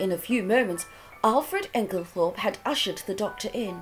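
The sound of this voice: An unforced reading voice is what this recording holds.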